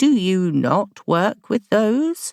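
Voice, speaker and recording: At a medium pitch, a woman performs a put-on character voice. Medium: read story. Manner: placid, cryptic, benevolent.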